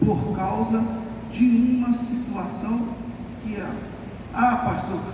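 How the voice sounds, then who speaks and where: A man with an extremely high pitch speaks at a very slow pace, with audible room echo and noticeable background noise. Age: 60s. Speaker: pastor. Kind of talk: sermon.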